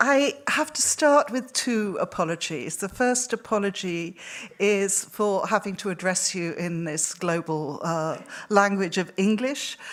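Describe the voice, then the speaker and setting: A woman speaks in a Welsh accent at a fairly slow pace. Her intonation is lively. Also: medium pitch for a woman. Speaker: researcher. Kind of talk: lecture. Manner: halting.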